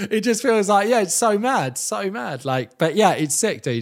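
Speaking with an English accent at a fairly quick pace, the voice swings very widely in pitch in a very clean recording with a silent background. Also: man. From England. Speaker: radio presenter. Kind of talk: casual chat.

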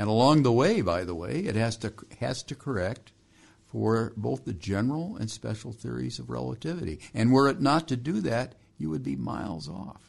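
A man with vocal fry and fairly low pitch talks at a moderate pace, his pitch swinging very widely. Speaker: engineer. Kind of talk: interview.

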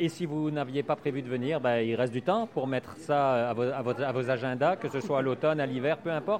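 Speaking at a fairly quick pace, a man with a fairly high pitch and ordinary pitch variation is heard over noticeable background noise. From Belgium. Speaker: food podcast host. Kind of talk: podcast intro and outro; interview. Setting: on site at farm shop.

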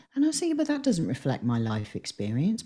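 A woman talks in a somewhat breathy voice with a dark, mellow tone. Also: very clean recording, silent background. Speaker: campaigner and writer. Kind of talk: interview.

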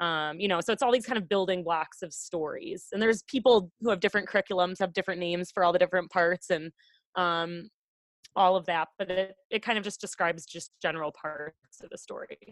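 A woman with an American accent has an ordinary speaking voice at a medium pitch with ordinary pitch variation, talking at a fairly quick pace. The sound is dry and close with no echo, on a very clean recording with a silent background. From Wisconsin, US Midwest. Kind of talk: casual interview chat.

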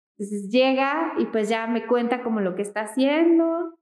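Here is a woman with a plain, everyday voice at a fairly high pitch. She talks fairly slowly, with lively intonation. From Mexico, Michoacán. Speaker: architect. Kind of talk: casual interview.

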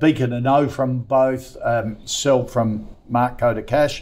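Speaking very slowly with an Australian accent, a man keeps a medium pitch and fairly even intonation. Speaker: business radio host. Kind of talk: live stock-picking talk show. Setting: studio.

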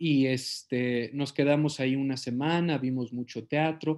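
A man speaks with a Mexican accent against a quiet background. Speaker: actor. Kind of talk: interview.

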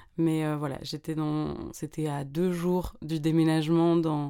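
A woman's very deep, low-pitched voice, dark and mellow in tone, in a monotone, flat intonation on a very clean recording with a silent background. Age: 20s. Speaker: podcast host. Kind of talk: casual monologue.

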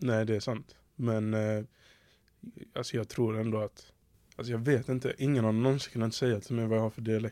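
A man with a Scanian accent speaks at a moderate pace in a dark, mellow tone, his intonation flat and monotone. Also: medium pitch for a man. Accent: faint Skåne. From southern Sweden, Skåne. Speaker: podcast host. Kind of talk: casual chat.

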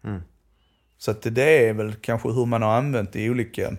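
The recording is very clean, with a silent background. A man with an unremarkable speaking voice talks at a moderate pace in a medium pitch with fairly even intonation. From southern Sweden, Skåne. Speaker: Romani language researcher. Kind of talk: educational conversation.

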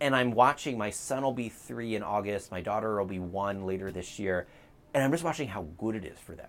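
A man speaks quite quickly in an ordinary speaking voice, fairly low in pitch, with lively intonation. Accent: American. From US, Baltimore. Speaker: think tank president and author. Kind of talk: interview on policy. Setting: outdoors on a front porch.

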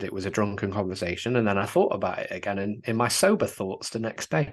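Against a quiet background, a man with an English accent talks at a fairly quick pace in a fairly low pitch, his intonation fairly even. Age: 20s. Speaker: father, works with teenagers. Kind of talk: casual chat.

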